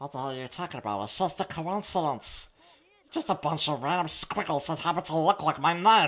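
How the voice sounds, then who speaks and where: Putting on a character voice, a man with fairly high pitch speaks at a fairly quick pace. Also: lively intonation. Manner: abrupt voice change into a character.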